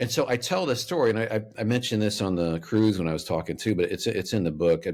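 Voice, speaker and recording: The speech runs at a very fast pace in a very clean recording with a silent background. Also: man, fairly low pitch for a man. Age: 50s. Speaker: author and speaker. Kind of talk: podcast interview. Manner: lawyerly tone.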